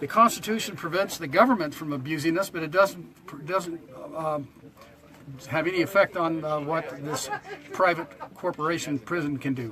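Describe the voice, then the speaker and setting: Noticeable background noise accompanies a man's fairly high voice. He talks at a moderate pace with ordinary pitch variation. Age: 70s. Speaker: protester. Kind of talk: casual chat.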